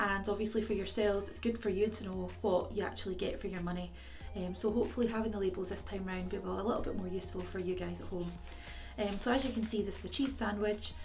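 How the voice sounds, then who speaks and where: A woman talks at a very fast pace over clear music in the background. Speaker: food review vlogger. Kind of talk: casual vlog chat. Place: home room. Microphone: phone near.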